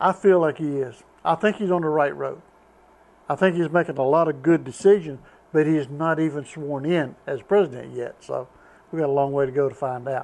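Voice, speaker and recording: In a Southern US accent, a man talks at a fairly quick pace with a fairly high pitch and ordinary pitch variation. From US South, North Carolina. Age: 70s. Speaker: retired truck driver. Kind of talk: casual chat.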